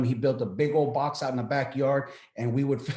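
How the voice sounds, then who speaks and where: In a somewhat breathy, medium-pitched voice, a man talks at a moderate pace with flat, monotone intonation. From Texas, El Paso. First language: Spanish. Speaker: military veteran, business owner. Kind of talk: interview. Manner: halting, many repeated words.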